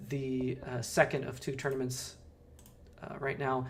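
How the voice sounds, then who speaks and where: With an American accent, a man speaks at a fairly high pitch and a fairly slow pace in a somewhat breathy voice, with audible room echo. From Southern California. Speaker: poker streamer. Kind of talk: live stream commentary. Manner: casual, hesitant with many fillers.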